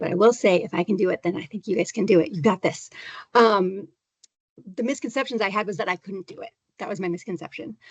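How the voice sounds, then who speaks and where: A woman's very fast, animated speech at a medium pitch, with ordinary pitch variation, big swings in loudness and a dry, close sound with no echo. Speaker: graduate student panelist, librarian. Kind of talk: panel Q&A.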